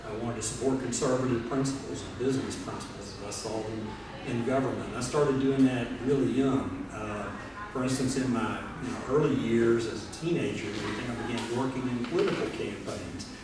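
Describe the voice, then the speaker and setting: A man with a Tennessee accent, medium pitch, a fairly quick pace, noticeable background noise and audible room echo. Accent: Southern US (Tennessee). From Memphis, West Tennessee. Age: 60s. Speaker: state treasurer, politician. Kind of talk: speech to a party meeting. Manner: conversational, many filler words.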